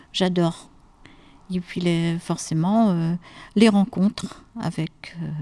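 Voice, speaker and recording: Over a quiet background, a woman with a dark, mellow tone speaks at a very slow pace with fairly even intonation. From Normandy, France. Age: 60s. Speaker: retired lighthouse keeper, amateur actress. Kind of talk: interview. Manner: hesitant, many fillers.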